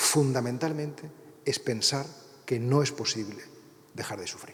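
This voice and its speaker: The voice is somewhat breathy, moving at a fairly slow pace with ordinary pitch variation. Audible room echo surrounds it. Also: man, fairly high pitch for a man, big swings in loudness. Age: 60s. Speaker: priest and writer. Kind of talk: lecture. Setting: university lecture hall with audience.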